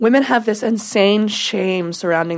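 A woman speaks in a plain, everyday voice, her pitch varying in an ordinary way at a moderate speed. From US Pacific Northwest, Washington. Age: 20s. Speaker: adult film performer. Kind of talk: casual interview chat.

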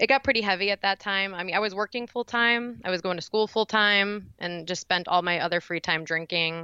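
A woman talks with a Midwestern American accent. Her pace is fairly quick. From Indiana. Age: 20s. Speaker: acupuncturist and recovery guest. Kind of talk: personal testimony interview.

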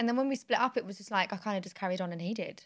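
A woman with a British accent speaks at a very fast pace, at a medium pitch with ordinary variation. The recording is very clean, with a silent background. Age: 20s. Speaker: podcast host. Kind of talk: casual chat.

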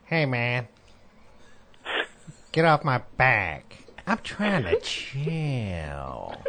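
Using a put-on character voice, a man speaks at medium pitch and a very slow pace with long, frequent pauses. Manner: laid-back, annoyed.

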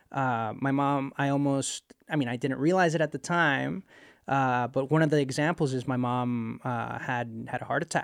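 Recorded very cleanly against a silent background, a man with a Spanish accent speaks at a moderate pace in a medium pitch with fairly even intonation. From Puerto Rico. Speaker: space engineer. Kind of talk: casual interview chat. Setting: studio.

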